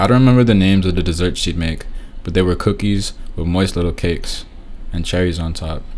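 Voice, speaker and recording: With audible room echo around him, a man talks very fast in a very deep, low voice. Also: fairly even intonation. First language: Romanian. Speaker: vlogger. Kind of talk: personal vlog narration.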